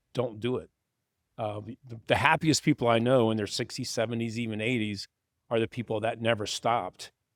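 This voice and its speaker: In a very clean recording with a silent background, a man with an American accent and a plain, everyday voice speaks fairly quickly at a medium pitch with fairly even intonation. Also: dry, close sound with no echo. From West Virginia. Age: 60s. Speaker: asset manager. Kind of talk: interview conversation.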